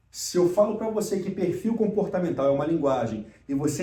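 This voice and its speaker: Room echo is audible as a man talks at a fairly quick pace with lively intonation. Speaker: emotional intelligence speaker and mentor. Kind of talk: recorded lecture.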